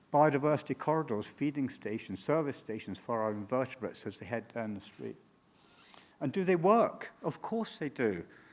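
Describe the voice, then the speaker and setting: Here a man talks at a medium pitch. His voice swings very widely in pitch. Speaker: urban greening entrepreneur. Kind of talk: conference presentation. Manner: fast.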